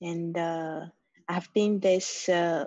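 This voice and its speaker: Using a very slow pace, a woman speaks in a Chinese accent. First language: Mandarin Chinese. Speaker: community member. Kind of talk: group video call discussion. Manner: halting.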